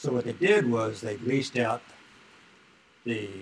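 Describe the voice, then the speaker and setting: Moderate-paced speech from a man, set against noticeable background noise. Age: old. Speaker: retired cowboy and auctioneer. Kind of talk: interview answer.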